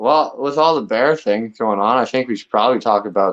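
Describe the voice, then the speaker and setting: A man talks with ordinary pitch variation. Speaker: outdoors and fishing guest. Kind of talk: casual live show chat. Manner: loud.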